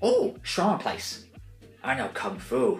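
Faint music plays behind a man whose voice carries audible room echo. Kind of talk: comic character impressions. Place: home room. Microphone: phone near.

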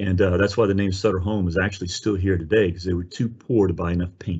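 The speaker talks at a very fast pace, somewhat breathy, with fairly even intonation. The background is quiet. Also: man. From New Orleans. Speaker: winery executive and wine educator. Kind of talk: webinar presentation. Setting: video call. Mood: warm, enthusiastic. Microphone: video call.

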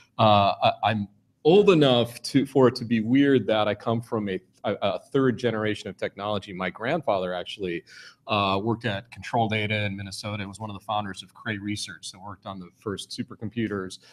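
In a normal speaking voice, a man with a fairly low pitch talks at a fairly quick pace with ordinary pitch variation. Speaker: keynote speaker. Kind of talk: keynote speech. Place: hall.

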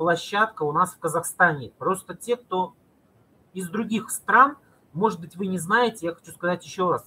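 A man projects a raised, high-pitched voice with a bright, sharp tone and lively intonation. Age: 40s. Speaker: video blogger and cosmetics sales representative; video blogger, cosmetics sales representative. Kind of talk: live stream talk to viewers. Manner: animated; halting. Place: home room. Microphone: webcam.

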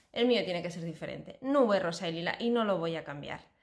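Against a quiet background, a woman is talking. Her pitch swings very widely at a moderate pace. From Spain. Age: 40s. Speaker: cooking YouTuber. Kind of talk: casual vlog introduction. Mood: warm, cheerful. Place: home room. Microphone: phone near.

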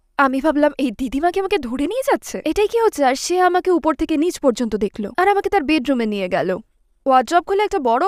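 Extremely high-pitched woman's voice with very wide pitch swings, dry and close with no echo. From London, England. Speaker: journalist and writer. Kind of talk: interview testimony.

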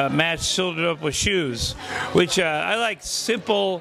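A man speaks with ordinary pitch variation in a dry sound with no echo. Light background noise is present. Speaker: guest. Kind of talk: interview answer. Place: hall. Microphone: handheld.

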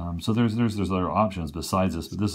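A very fast pace from a male speaker. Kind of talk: tutorial. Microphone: phone near.

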